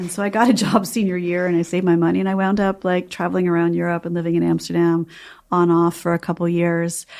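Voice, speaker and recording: Very fast and monotone with flat intonation, a woman with an American accent speaks in a fairly low pitch on a very clean recording with a silent background. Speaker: novelist and former journalist. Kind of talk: interview.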